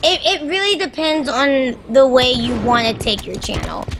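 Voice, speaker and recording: High pitch from a woman, with noticeable background noise behind it. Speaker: variety game streamer. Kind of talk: casual chat while gaming.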